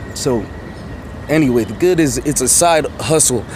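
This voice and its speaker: A man talks at a moderate pace. Background noise is noticeable, and the room echo is audible. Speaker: rideshare driver and vlogger. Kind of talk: casual vlog monologue. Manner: animated.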